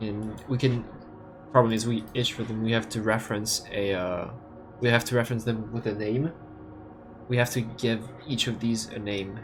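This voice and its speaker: A man with a non-native accent speaks at a moderate pace and medium pitch, leaving long, frequent pauses. His intonation is monotone and flat, with music in the background. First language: not English. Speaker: game modding streamer. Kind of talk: live coding stream with chat reading. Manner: halting, many fillers and restarts.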